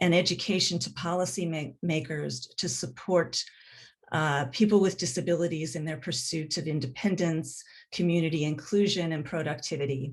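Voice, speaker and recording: In a very deep, low pitch, a somewhat breathy woman speaks at a moderate pace against a quiet background. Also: ordinary pitch variation. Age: 60s. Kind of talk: panel introduction.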